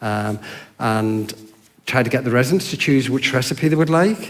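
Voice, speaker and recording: A man speaks at a moderate pace with an English accent, with audible room echo and noticeable background noise. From Yorkshire, England. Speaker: hostel worker. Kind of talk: church talk.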